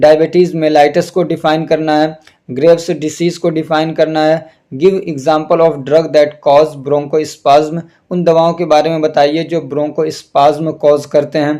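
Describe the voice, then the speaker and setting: A man with a fairly high pitch and a dark, mellow tone speaks in a flat monotone. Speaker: pharmacy teacher. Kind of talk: tutorial.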